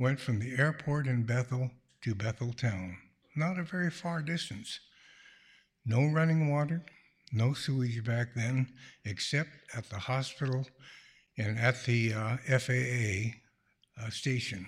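In a very clean recording with a silent background, a man with a medium pitch and a somewhat breathy voice speaks at a fairly slow pace, using lively intonation and long, frequent pauses. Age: 80s+. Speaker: retired pediatrician, storyteller. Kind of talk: live storytelling. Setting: stage with audience in a church.

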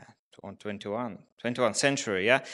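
On a very clean recording with a silent background, a man with a Ukrainian accent talks with ordinary pitch variation. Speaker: refugee. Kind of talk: live storytelling. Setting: stage with audience. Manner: halting.

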